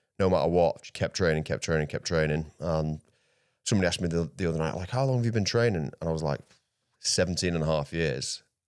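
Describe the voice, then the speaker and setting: Over a very clean recording with a silent background, a man speaks very fast in a very deep, low voice. His pitch varies in an ordinary way, with a South Yorkshire accent. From South Yorkshire, England. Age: 30s. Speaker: grappling athlete. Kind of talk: casual interview chat.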